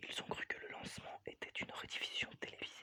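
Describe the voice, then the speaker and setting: Whispering, a man speaks at a fairly slow pace. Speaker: ASMR creator. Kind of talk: whispered audiobook reading. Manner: whispered.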